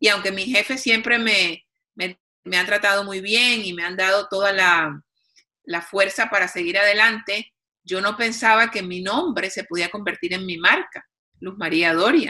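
A woman speaks at a fairly slow pace in a bright, sharp tone. Her pitch sits in the middle, with ordinary variation. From Colombia, Cartagena. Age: 50s. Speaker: TV executive producer and author. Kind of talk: interview.

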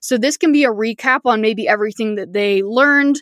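A woman's fairly high voice at a fairly quick pace, ordinary in pitch variation, with a dry, close sound and no echo. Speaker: podcast host, online business coach. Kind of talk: solo podcast monologue. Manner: fast; animated.

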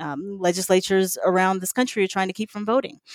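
This is a very clean recording with a silent background. The voice carries a Southern US accent. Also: woman, dry, close sound with no echo. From US South, Mississippi. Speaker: environmental advocate and former mayor. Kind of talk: interview.

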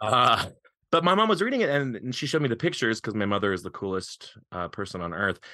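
With an American accent, a man speaks at a medium pitch in a bright, sharp, animated tone, his pitch swinging very widely over a quiet background. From Eastern Montana, US. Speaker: author and high school theater director. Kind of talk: casual chat.

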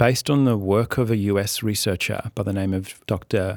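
On a very clean recording with a silent background, a man with an Australian accent speaks in a fairly low voice with fairly even intonation. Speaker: writer and former senator. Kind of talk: interview.

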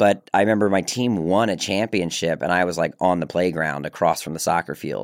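Speaking with an American accent, a man with a very deep, low pitch talks at a fairly quick pace with hardly any pauses and ordinary pitch variation. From Maryland, Baltimore. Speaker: actor and filmmaker. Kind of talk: casual chat. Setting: studio.

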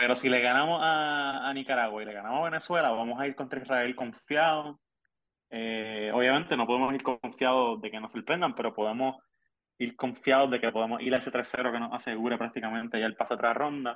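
Talking at a fairly quick pace, a man uses an unremarkable speaking voice at medium pitch with fairly even intonation. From Puerto Rico, Ponce. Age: 30s. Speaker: sports journalist. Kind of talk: casual chat.

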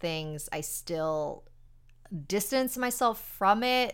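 A woman's normal speaking voice with an American accent, medium pitch and lively intonation, on a very clean recording with a silent background. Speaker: paranormal podcast host. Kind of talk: casual interview.

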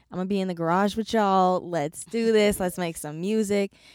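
In a very clean, dry, close recording with no echo and a silent background, a woman with an American accent speaks in an unremarkable speaking voice, fairly low in pitch, at a moderate pace with fairly even intonation. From California. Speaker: singer and dancer. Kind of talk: casual interview.

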